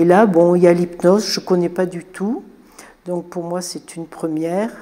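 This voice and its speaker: Noticeable background noise sits behind a woman's medium-pitched voice. Her intonation is flat and monotone. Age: 70s. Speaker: patient. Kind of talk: interview testimony.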